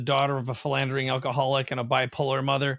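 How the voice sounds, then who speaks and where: This man has a fairly high pitch and speaks with an American accent. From Minnesota, US Midwest. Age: 50s. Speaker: entrepreneur. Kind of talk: casual interview.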